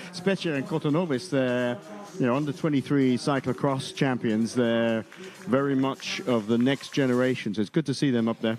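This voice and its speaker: With a normal speaking voice, a man talks at medium pitch and a moderate pace, keeping very even loudness and ordinary pitch variation. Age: 50s. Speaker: mountain bike race commentator. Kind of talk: live commentary.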